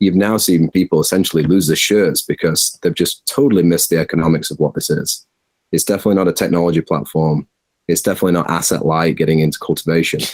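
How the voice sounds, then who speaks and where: Very fast speech in a Yorkshire accent, with ordinary pitch variation and very even loudness. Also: man, very deep, low pitch for a man. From Yorkshire, England. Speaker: cannabis farm executive. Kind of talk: interview answer.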